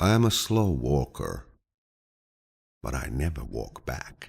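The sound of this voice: A man speaks slowly at an extremely low pitch, with vocal fry and a slightly husky edge. His tone is calm and soothing, and his pitch swings very widely.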